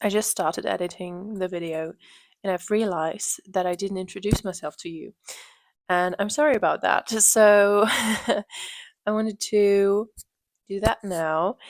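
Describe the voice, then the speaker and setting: A woman talks at a medium pitch and fairly slow pace with fairly even intonation. The recording is very clean with a silent background and a dry, close sound with no echo. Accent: German. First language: German. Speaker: knitting podcaster. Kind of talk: casual podcast monologue.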